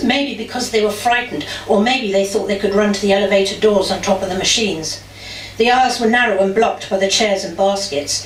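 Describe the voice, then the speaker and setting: With noticeable background noise behind her, a woman talks at a fairly quick pace with ordinary pitch variation. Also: medium pitch for a woman. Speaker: spoken word performer. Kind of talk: first-person testimony reading. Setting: live venue.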